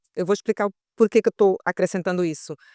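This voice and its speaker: On a very clean recording with a silent background and a dry, close sound without echo, a woman speaks in a normal speaking voice at a fairly quick pace and medium pitch. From Mozambique. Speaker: capoeira teacher. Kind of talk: podcast conversation.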